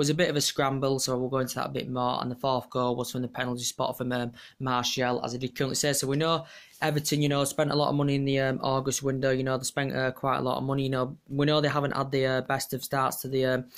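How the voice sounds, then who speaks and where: Against a quiet background, a man speaks very fast in a monotone, flat intonation. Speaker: football fan vlogger. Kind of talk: casual vlog match review. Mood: pleased about the win. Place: home room. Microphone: phone near.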